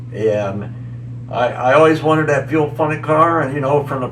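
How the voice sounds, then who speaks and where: A man with an American accent speaks at a fairly slow pace, with noticeable background noise and audible room echo. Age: 70s. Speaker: tractor pulling champion. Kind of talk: interview. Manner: halting.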